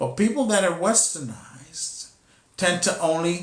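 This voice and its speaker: A man talks at a high pitch and a fairly slow pace. Audible room echo surrounds his voice. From Costa Rica. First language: Spanish. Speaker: spiritual teacher. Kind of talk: spiritual teaching talk. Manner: halting, with repetitions.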